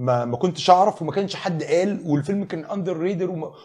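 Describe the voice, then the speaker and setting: A man's high, dark, mellow voice, fairly quick and lively in intonation, against a quiet background. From Egypt. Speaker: screenwriter; guest. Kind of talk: casual chat. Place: studio. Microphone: lapel.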